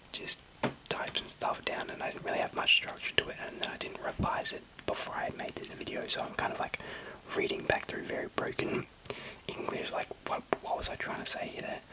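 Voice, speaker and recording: A man whispers fairly quickly while noticeable background noise carries on behind him. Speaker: ASMR creator. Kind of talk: whispered ASMR ramble.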